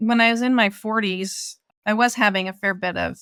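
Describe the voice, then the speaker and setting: The woman has a bright, sharp tone. She talks with an American accent. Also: dry, close sound with no echo, very clean recording, silent background. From US West Coast, rural Oregon. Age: 60s. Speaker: ultra-runner. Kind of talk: interview conversation.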